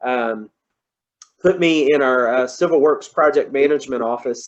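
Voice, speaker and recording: A man speaks with a Kentucky accent. His pitch is fairly high. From Kentucky, Louisville area. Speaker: engineer. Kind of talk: presentation talk. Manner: halting, many fillers.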